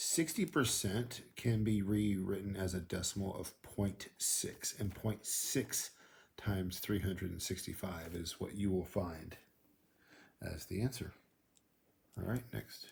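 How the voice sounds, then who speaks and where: At a fairly slow pace, a man speaks with a fairly low pitch and a somewhat breathy sound. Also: ordinary pitch variation. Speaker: school math teacher. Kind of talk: tutorial. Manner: casual.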